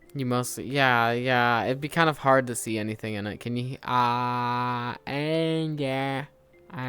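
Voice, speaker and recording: Bright and sharp in tone, a man speaks at a medium pitch with fairly even intonation. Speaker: VR streamer. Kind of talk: casual chat. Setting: live stream in VR.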